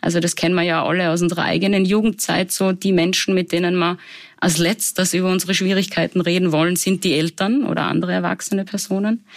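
A woman with a Salzburg accent speaks very fast in a monotone, flat intonation at medium pitch, her loudness very even. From Austria, Salzburg. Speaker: psychologist. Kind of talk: interview. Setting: studio.

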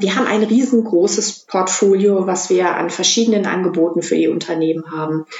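A woman with an unremarkable speaking voice talks at a moderate pace, her pitch varying in an ordinary way. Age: 40s. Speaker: head of a business digitalization center. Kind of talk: interview.

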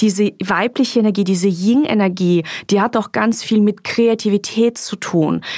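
Speaking at a moderate pace, a woman uses an ordinary speaking voice at a medium pitch. The sound is dry and close, with no echo. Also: ordinary pitch variation. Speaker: podcast host and author. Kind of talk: guided meditation; casual chat. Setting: recorded in Mallorca.

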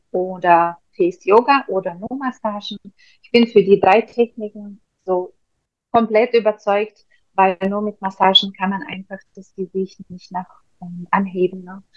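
Her medium-pitched voice moves at a fairly slow pace, with fairly even intonation but big swings in loudness. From Russia. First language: Russian (speaking German). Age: 40s. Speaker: face yoga trainer. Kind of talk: casual interview.

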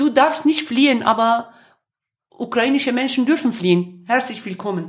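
A woman with a Kurdish accent speaks at a high pitch. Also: lively intonation, moderate pace. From Kurdish region of Turkey. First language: Kurdish (speaking German). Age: 50s. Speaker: singer and activist. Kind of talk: interview. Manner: halting, with frequent fillers.

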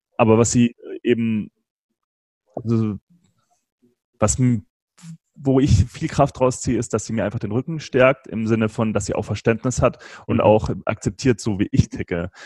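Recorded dry and close with no echo, a man speaks at a moderate pace with long, frequent pauses, a medium pitch, ordinary pitch variation and a dark, mellow tone. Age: 30s. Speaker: podcast host and entrepreneur, interview guest. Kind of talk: casual interview.

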